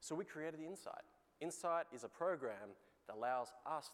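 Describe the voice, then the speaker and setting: Moderate pace from a man speaking with an Australian accent. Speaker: industry executive presenting customer case. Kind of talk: conference keynote presentation.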